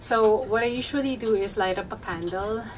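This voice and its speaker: Audible room echo surrounds a woman speaking in a Filipino accent with ordinary pitch variation. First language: Tagalog. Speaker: flower crafter. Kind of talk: tutorial. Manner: casual.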